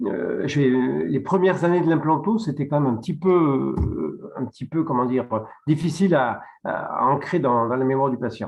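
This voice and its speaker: The speaker's intonation is lively, with vocal fry throughout. The pace stays moderate. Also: man, fairly high pitch for a man. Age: 60s. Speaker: dentist. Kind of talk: webinar presentation. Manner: halting.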